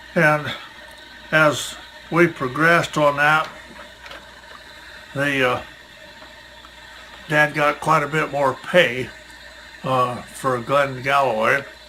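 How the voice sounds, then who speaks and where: Over noticeable background noise, a man with a fairly high pitch speaks at a very slow pace with fairly even intonation and long, frequent pauses. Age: 80s+. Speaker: retired farmer, museum volunteer. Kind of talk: oral history interview.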